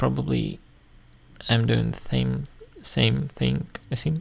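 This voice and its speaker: A man with a Russian accent at a fairly slow pace. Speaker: YouTuber. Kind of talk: casual commentary video. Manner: halting, many fillers.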